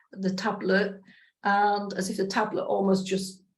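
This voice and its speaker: With an English accent, a woman speaks fairly slowly at a medium pitch, somewhat breathy and in a monotone, flat intonation. Audible room echo is heard. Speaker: spiritual practitioner. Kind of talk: personal testimony. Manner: hesitant, many fillers.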